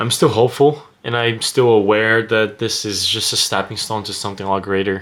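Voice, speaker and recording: Delivery comes at a fairly quick pace with a Portuguese accent. The intonation stays fairly even. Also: man, fairly low pitch for a man. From Brazil. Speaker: vlogger. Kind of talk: casual monologue to camera. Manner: hesitant, many fillers.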